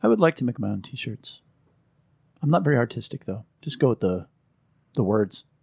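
A man speaks at a medium pitch with lively intonation, his voice somewhat breathy. His moderate pace has long, frequent pauses, and the sound is dry and close with no echo. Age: 50s. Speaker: podcast co-host. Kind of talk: casual chat.

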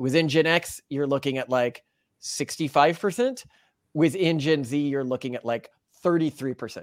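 Delivered in a normal speaking voice at a moderate pace with ordinary pitch variation, the audio is dry and close with no echo, on a very clean recording with a silent background. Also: man. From Texas. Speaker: podcast co-host. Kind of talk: casual chat.

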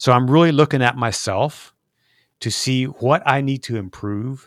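In a very clean recording with a silent background, a man talks at a moderate pace with ordinary pitch variation in a normal speaking voice. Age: 50s. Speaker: documentary filmmaker and podcast host. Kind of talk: interview conversation.

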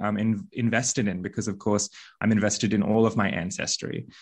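A man talks with an Australian accent. His pitch is fairly low and his pace fairly quick. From Australia (Balinese Australian, raised in Australia and Bali). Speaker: witch and spiritual teacher. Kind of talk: interview conversation.

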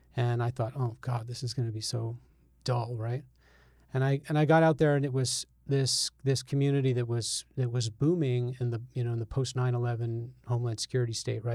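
A somewhat breathy man with an American accent, medium pitch, a dark, mellow tone, monotone, flat intonation and a fairly quick pace. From Albany, New York. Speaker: journalist. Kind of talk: interview conversation.

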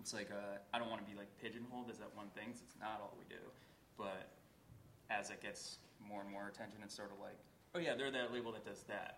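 A man talks at a fairly quick pace with a fairly low pitch and fairly even intonation, in an unremarkable speaking voice. His loudness swings widely. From Boston area. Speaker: indie record label owner. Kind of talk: live panel discussion. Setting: stage with audience.

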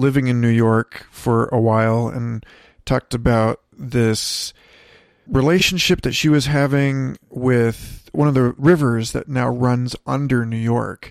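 In a dry, close sound with no echo, a man with a plain, everyday voice talks at a fairly slow pace with a medium pitch and fairly even intonation. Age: 30s. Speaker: podcast host. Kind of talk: casual chat. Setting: in-person recording sitting on a bed.

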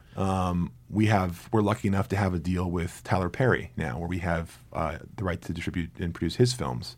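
Speaking in an American accent with hardly any pauses, a man with a very deep, low voice shows vocal fry. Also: ordinary pitch variation, moderate pace. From New Jersey. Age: 40s. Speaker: film marketing executive. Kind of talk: interview conversation. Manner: halting, many repeated words.

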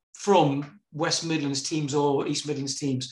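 A man's voice carries audible room echo. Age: 40s. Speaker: podcast host. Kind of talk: casual interview.

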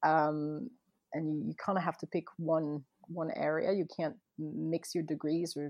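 A woman talks at a moderate pace in a slight French accent. Her pitch sits fairly low. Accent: light French accent in English. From France, Paris and Montpellier, early childhood near Boston. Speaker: wedding photographer, former lawyer. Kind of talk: casual interview. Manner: hesitant, many false starts; laughs often.

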